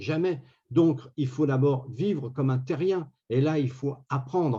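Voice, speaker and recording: A man's dark, mellow, somewhat breathy voice, fairly high in pitch, with ordinary pitch variation and a very slow pace. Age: 60s. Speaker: round table panelist. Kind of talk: round table discussion.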